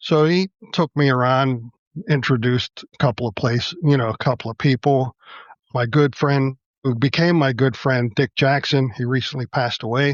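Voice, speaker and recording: A man speaks in an ordinary speaking voice with an American accent. His pitch is medium, his pitch variation ordinary and his pace moderate. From Pittsburgh, Pennsylvania. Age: 60s. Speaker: model railroad club president. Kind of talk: casual chat.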